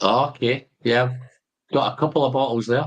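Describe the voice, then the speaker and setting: With a strong Glaswegian accent, a man talks fairly slowly at a fairly high pitch. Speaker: whisky tasting host. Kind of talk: casual chat.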